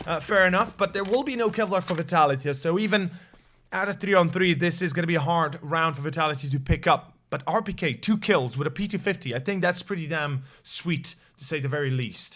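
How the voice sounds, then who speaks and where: A man talks at a fairly quick pace with ordinary pitch variation. His voice is high-pitched, with a bright, sharp tone. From Slovenia. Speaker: esports caster. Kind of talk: live commentary.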